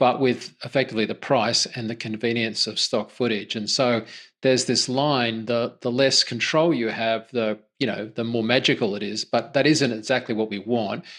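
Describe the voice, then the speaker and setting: Against a quiet background, a man talks at a moderate pace and medium pitch with fairly even intonation. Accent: Australian. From Australia. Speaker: podcast host. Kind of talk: casual interview chat.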